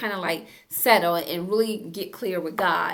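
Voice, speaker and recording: Against noticeable background noise and audible room echo, a woman with a fairly low pitch talks at a moderate pace with ordinary pitch variation. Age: 60s. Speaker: therapist and self-help YouTuber. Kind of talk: motivational self-help talk. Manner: casual, conversational.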